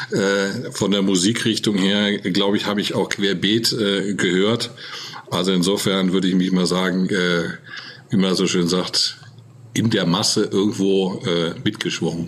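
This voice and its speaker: A man's fairly low-pitched voice at a fairly slow pace, with fairly even intonation over noticeable background noise. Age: 40s. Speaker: retail executive. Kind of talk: interview. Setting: video call.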